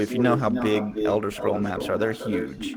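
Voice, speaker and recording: A man is heard over noticeable background noise. Room echo is audible. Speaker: YouTuber and streamer. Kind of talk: Q&A interview. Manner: monotone; flat, sounds bored.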